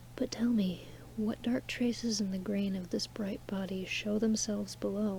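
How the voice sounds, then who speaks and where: Soft-spoken and calm in tone, the voice moves at a fairly slow pace. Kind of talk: poetry reading. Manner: soft-spoken, calm.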